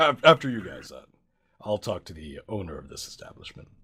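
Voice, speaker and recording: A man does a put-on character voice, raspy and fairly low-pitched. He talks at a fairly quick pace, with very wide pitch swings and big swings in loudness. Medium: actual play. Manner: casual, businesslike, laid-back.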